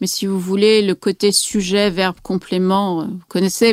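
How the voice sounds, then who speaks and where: The sound is dry and close, without any echo. A woman's voice comes through on a very clean recording against a silent background. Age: 40s. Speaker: novelist and psychoanalyst. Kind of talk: interview. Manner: hesitant with many fillers.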